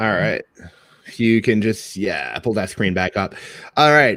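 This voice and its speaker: This man has a French Canadian accent and a medium pitch. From Quebec / French Canada. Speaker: cloud developer advocate. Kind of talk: technical presentation. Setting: online meetup. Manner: casual, conversational.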